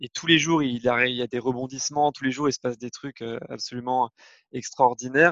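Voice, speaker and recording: A man speaks at a medium pitch and a moderate pace with fairly even intonation. The sound is dry and close with no echo, and his loudness swings widely. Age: 30s. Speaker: parenting blogger and father. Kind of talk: interview testimony. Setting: remote recording. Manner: hesitant, many fillers.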